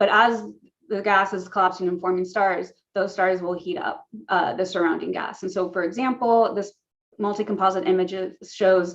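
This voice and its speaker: An American accent marks this woman's speech, delivered at a moderate pace in a medium pitch with fairly even intonation. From US West Coast, Los Angeles (San Fernando Valley). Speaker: astrophysicist. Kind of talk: lecture.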